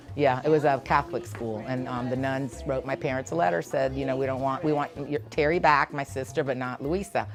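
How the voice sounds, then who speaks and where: With music in the background, a woman with a very deep, low pitch talks in an animated tone at a fairly quick pace, with hardly any pauses. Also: ordinary pitch variation. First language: Spanish. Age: 60s. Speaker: preschool teacher. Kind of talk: interview.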